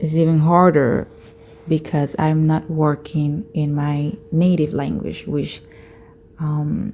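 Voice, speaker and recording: With a Spanish accent, the speaker talks at a very slow pace in a monotone, flat intonation over noticeable background noise. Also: woman, very deep, low pitch for a woman. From Latin America. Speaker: vlogger, tech worker. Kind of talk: personal vlog monologue. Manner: hesitant, with fillers.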